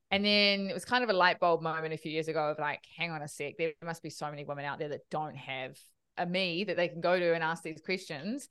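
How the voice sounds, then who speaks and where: With a New Zealand accent, a woman speaks at a very fast pace, her pitch fairly low with ordinary variation. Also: quiet background. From New Zealand, Auckland. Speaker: finance educator, co-founder of investing education platform. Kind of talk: podcast interview.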